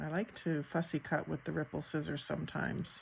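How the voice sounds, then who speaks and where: The woman is soft-spoken. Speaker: crafter and online shop owner. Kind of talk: crafting tutorial. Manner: slow, thinking aloud.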